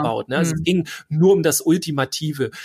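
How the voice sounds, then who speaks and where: A man speaks very fast at a fairly high pitch, with ordinary pitch variation. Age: 40s. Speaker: educator and boys' pedagogy expert. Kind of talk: interview.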